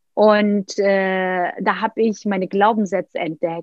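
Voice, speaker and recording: The speaker has a Turkish accent. Pitch variation is ordinary. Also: woman. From Turkey, Istanbul. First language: Turkish (speaking German). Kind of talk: interview, personal story.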